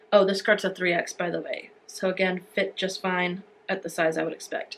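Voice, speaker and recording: Moderate pace and medium pitch from a woman with an unremarkable speaking voice. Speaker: fashion and beauty youtuber. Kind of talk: try-on haul review. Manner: casual, filler-heavy.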